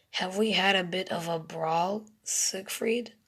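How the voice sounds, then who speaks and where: A raspy, female-sounding put-on character voice at a middle pitch speaks at a fairly slow pace. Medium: read story.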